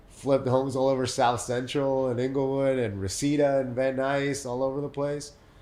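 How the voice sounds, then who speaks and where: With audible room echo, a man at medium pitch talks fairly quickly in a monotone, flat way, barely pausing. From Mexico City, then San Diego from age 14. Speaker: real estate developer. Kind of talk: podcast interview. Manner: repetitive false starts.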